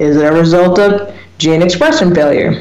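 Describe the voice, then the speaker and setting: Over noticeable background noise, a woman talks at a moderate pace with a fairly low pitch. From US small town. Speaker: radio talk show host. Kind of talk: solo radio talk on research topic. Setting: internet radio show.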